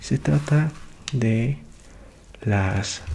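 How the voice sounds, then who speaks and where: A soft-spoken man talks at a very slow pace with a fairly low pitch and very wide pitch swings. Noticeable background noise runs underneath. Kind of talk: ASMR short story reading with commentary.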